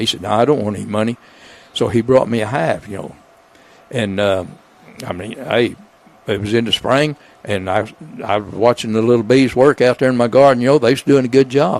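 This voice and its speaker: A man with an Arkansas accent at a medium pitch, a fairly quick pace with long, frequent pauses and ordinary pitch variation, over noticeable background noise. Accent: Southern US (Arkansas). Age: 80s+. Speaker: retired builder and beekeeper. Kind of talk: casual interview chat. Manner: halting, many fillers.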